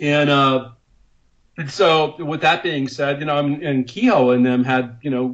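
A man's normal speaking voice at medium pitch, moderate pace and fairly even intonation. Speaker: UFO investigator. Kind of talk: interview. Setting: remote call.

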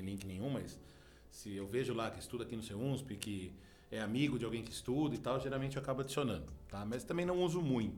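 With audible room echo around him, a man speaks at a very fast pace. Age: 40s. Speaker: journalism professor. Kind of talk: interview.

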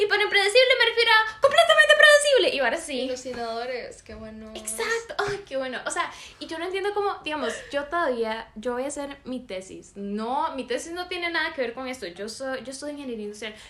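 A woman's high, raised and projected voice at a fairly quick pace, with very wide pitch swings, big swings in loudness, and noticeable background noise. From Costa Rica, San José. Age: 18. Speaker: podcast co-host. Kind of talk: casual chat.

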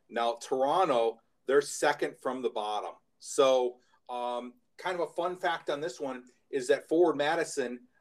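This man has a fairly high voice with an American accent. He talks at a very slow pace with ordinary pitch variation. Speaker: podcast co-host. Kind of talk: casual podcast chat.

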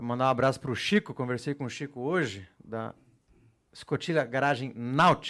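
In a very clean recording with a silent background, a man uses a plain, everyday voice at a moderate pace, with medium pitch and ordinary pitch variation. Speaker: podcast host. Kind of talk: casual podcast chat with giveaway announcements. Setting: studio.

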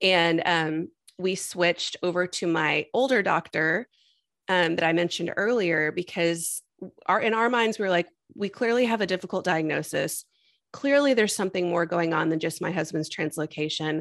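A woman's normal speaking voice, fairly low in pitch, with ordinary pitch variation and an American accent. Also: moderate pace. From Texas. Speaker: IVF patient and mother sharing her story. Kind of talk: interview testimony.

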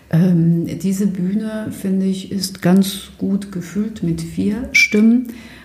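Over noticeable background noise and audible room echo, the speaker talks very slowly with hardly any pauses and fairly even intonation. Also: woman, medium pitch for a woman. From Germany. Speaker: theatre director. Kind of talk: interview. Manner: halting, many fillers.

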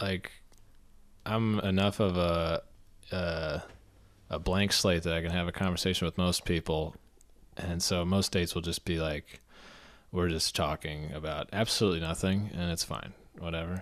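A man with an American accent speaks in a very deep, low pitch and monotone, flat intonation at a moderate pace, with long, frequent pauses, in a very clean recording with a silent background. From Philadelphia. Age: 20s. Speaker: comedian. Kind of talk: casual chat.

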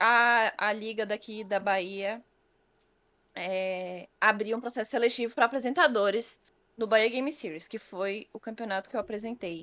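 Big swings in loudness mark an unremarkable speaking voice that keeps a moderate pace and ordinary pitch variation. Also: woman, fairly high pitch for a woman. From Brazil, Federal District surroundings. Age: 20s. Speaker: esports presenter and influencer. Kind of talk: casual chat. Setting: live-streamed podcast studio.

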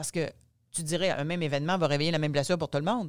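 A woman in a very clean recording, with a silent background. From Quebec, Gaspésie. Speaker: author and speaker, former journalist. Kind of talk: casual interview.

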